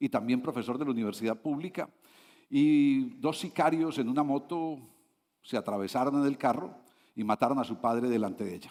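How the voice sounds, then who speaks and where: On a very clean recording with a silent background, a man with a Medellín accent speaks with lively intonation. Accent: Colombian Spanish (paisa, Medellín). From Colombia, Medellín. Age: 60s. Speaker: international consultant, invited speaker. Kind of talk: conference talk. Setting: stage with audience. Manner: conversational with frequent fillers.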